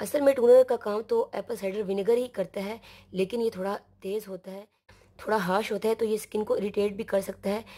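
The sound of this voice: Husky and dark, mellow in tone, a woman talks at a fairly quick pace with a medium pitch and fairly even intonation.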